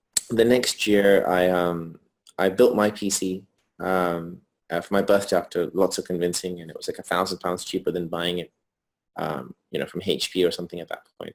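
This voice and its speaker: A man with a British accent and a very deep, low pitch, at a moderate pace with fairly even intonation and big swings in loudness. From England, North London. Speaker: entrepreneur. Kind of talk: interview. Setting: video call from hotel room. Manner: hesitant, many fillers.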